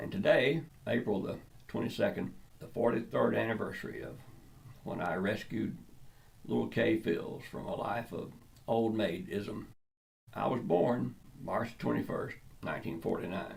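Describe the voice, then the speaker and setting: A man with a Georgia accent speaks at a moderate pace, leaving long, frequent pauses, his loudness swinging widely in a room with audible echo. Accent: Southern US (Georgia). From US South, South Georgia. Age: 70s. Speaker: comedian. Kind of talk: storytelling monologue. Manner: halting, repeats words.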